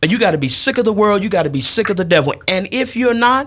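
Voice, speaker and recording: A man with an American accent talks very fast in a high pitch, his voice making very wide pitch swings. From Chicago South Side; Chicago. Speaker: church elder; guest. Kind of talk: casual chat. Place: studio. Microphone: studio mic.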